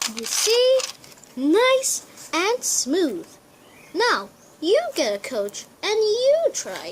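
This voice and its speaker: Speaking in a put-on character voice at an extremely high pitch, a woman goes very slowly, with long, frequent pauses. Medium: read story. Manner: warm, patient.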